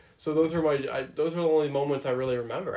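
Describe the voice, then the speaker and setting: A man talks in a normal speaking voice with a fairly high pitch at a fairly quick pace. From Ontario, Canada. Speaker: hockey podcast host. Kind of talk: casual chat.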